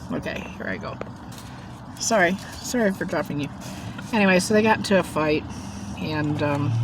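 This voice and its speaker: With noticeable background noise, a woman of fairly low pitch speaks with lively intonation and long, frequent pauses. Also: moderate pace. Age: 60s. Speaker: mukbang vlogger. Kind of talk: casual storytelling while eating.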